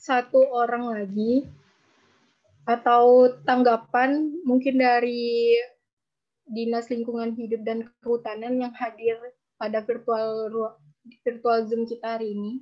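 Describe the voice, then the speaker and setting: Over a quiet background, a woman speaks fairly slowly with a fairly high pitch. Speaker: webinar moderator. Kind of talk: moderating. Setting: video call. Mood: polite, formal, friendly. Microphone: video call.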